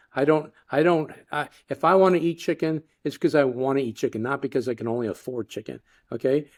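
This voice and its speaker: A man with an American accent speaks at a fairly quick pace. His pitch is fairly high, with ordinary variation. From Florida, US. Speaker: tech company CEO. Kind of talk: casual chat. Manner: halting.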